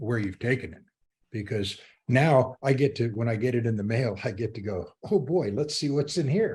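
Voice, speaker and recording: A somewhat breathy man's voice, dark and mellow, at a moderate pace against a quiet background. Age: 80s+. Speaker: retired sailing magazine founder. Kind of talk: casual interview chat. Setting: podcast interview. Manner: halting, repeats words.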